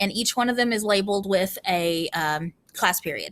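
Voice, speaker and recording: A woman speaks with a bright, sharp tone. Her intonation is lively. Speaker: school teacher. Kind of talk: classroom rules presentation to students. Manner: casual, many filler ums; loud.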